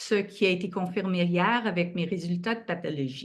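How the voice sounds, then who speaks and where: At a moderate pace, a woman talks in a Quebec accent. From Quebec, Montreal. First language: French. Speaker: patient advocate and co-chair. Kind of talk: event moderation.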